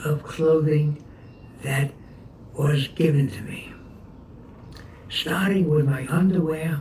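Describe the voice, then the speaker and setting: This is a man speaking. He has a New York accent. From New York City, Brooklyn. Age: 80s+. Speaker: war veteran. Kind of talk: oral history interview. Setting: at home. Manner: halting.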